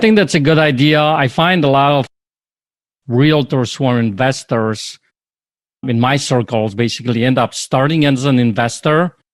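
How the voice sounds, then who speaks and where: Recorded very cleanly against a silent background, a man speaks at a medium pitch with ordinary pitch variation in an unremarkable speaking voice. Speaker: podcast host. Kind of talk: podcast interview talk.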